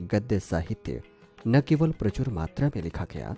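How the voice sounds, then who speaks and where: A man speaks with a fairly low pitch and lively intonation. Music plays in the background. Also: dry, close sound with no echo. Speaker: radio jockey. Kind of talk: educational lecture narration.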